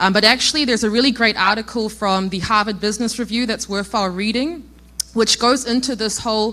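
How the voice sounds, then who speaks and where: A woman with a New Zealand accent speaks at a fairly high pitch in a bright, sharp tone. Her pitch varies in an ordinary way. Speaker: logistics innovation executive. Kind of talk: conference talk.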